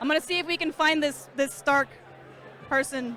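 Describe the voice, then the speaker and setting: A woman speaks in a raised, projected voice while crowd noise fills the background. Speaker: streamer interviewing attendees at a meetup. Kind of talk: casual event interviews. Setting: crowded indoor event. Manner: loud; animated.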